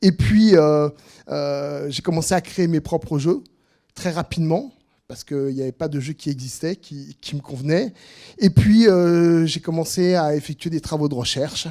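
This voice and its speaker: A man's fairly high voice in a dark, mellow tone, fairly slow, with ordinary pitch variation and a dry, close sound with no echo. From southern France. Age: 60s. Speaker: freelance trainer and teacher. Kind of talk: informal presentation. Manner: halting, many hesitations and repetitions.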